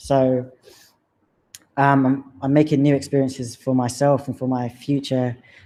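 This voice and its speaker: An English accent at a moderate pace. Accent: English accent, drops T's. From London, England. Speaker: personal heritage presenter. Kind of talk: presentation narrating slideshow of own history. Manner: casual, hesitant with fillers.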